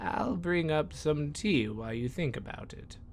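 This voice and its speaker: Doing a put-on character voice, a man talks at a moderate pace and a fairly high pitch, with big swings in loudness and very wide pitch swings over clear background noise. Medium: read story. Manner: warm, friendly.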